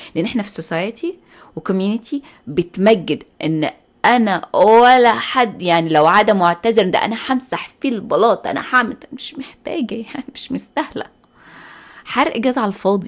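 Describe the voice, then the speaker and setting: A woman with an Egyptian accent, animated in tone, fairly high in pitch, with lively intonation at a moderate pace. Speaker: podcast host. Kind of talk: casual monologue. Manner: loud.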